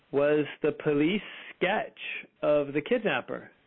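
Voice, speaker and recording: A very slow pace with a Californian accent. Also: man. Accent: General American, Californian. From US West Coast, Fremont, California. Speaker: spiritual healer, OCD survivor. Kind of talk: interview, personal testimony.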